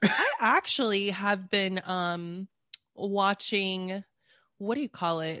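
A woman's medium-pitched voice with an American accent, very slow, with ordinary pitch variation and a dry, close sound with no echo. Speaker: podcaster guest. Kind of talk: casual chat.

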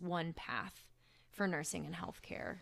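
A woman with an American accent speaks fairly slowly with fairly even intonation in a normal speaking voice. The recording is very clean, the background silent. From Oklahoma, Tulsa. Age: 30s. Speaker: ER nurse. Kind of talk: casual chat.

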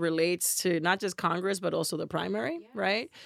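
Speaking very fast in an animated tone, a woman with an American accent comes through with a dry, close sound and no echo. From Massachusetts. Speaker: podcast co-host. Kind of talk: casual political chat.

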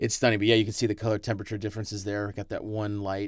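In a very clean recording with a silent background, a man with a fairly low pitch talks at a very fast pace in a monotone, flat intonation. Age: 30s. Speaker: film director. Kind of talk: casual film commentary chat.

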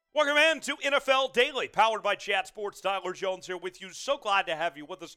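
With a bright, sharp tone, a man projects a raised voice at a high pitch. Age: 20s. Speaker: sports show host. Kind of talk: live stream sports talk. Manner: animated.

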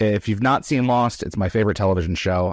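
Recorded very cleanly against a silent background, with a dry, close sound and no echo, a man speaks in a plain, everyday voice at a fairly low pitch with ordinary pitch variation. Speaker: podcast host. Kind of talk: live-streamed interview. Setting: live stream with chat questions.

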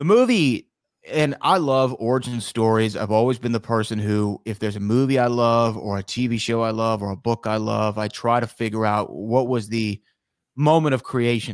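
A man with an American accent and an unremarkable speaking voice talks at a moderate pace, with medium pitch and fairly even intonation. The recording is very clean, with a silent background and a dry, close sound with no echo. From Texas (Houston). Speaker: author and radio host. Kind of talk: interview.

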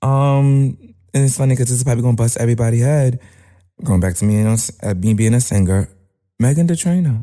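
Over background music, a medium-pitched man with a Brooklyn accent speaks very fast at very even loudness, with ordinary pitch variation. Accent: New York (Brooklyn). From East New York, Brooklyn. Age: 20s. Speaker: rapper. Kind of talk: casual interview. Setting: studio.

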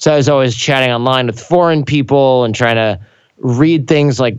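At a fairly quick pace, a man with an American accent speaks in a plain, everyday voice at a medium pitch with ordinary pitch variation, against a quiet background. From Michigan. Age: 30s. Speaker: podcast host and coach. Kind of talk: casual interview chat. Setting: studio.

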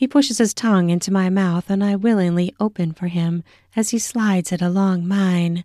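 Someone reads aloud. The voice is a natural reading voice.

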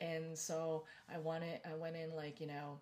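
Speaking at a fairly slow pace, a woman has a fairly low-pitched, somewhat breathy voice. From Philippines until six, then US. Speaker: Reiki master. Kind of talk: casual interview chat. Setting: home studio, old bedroom.

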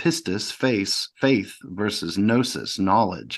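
With a Southern US accent, a man speaks in a fairly low pitch and lively intonation. The background is quiet. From US South, rural Mississippi. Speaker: author and practicing alchemist. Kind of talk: podcast interview. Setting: remote call.

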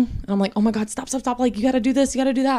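Over a silent background on a very clean recording, a woman speaks with a Southern US accent. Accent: Southern US, noticeable. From US South, South Carolina. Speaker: podcast guest, host's wife. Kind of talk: casual chat.

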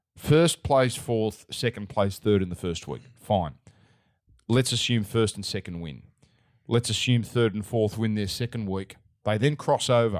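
On a very clean recording with a silent background, a man with an Australian accent speaks at a fairly slow pace and fairly low pitch, with ordinary pitch variation. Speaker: sports betting podcast host. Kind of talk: casual sports betting chat.

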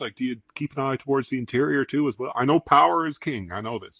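Here is a plain, everyday voice. A man talks at a fairly quick pace and a medium pitch. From Newfoundland, Canada. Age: 40s. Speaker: podcast host, automotive journalist. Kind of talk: casual interview.

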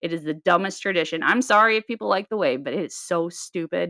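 In an American accent, a woman speaks with a fairly low pitch, a bright, sharp, animated tone, and a dry, close sound with no echo. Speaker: podcast co-host. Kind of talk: casual chat. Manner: animated, casual.

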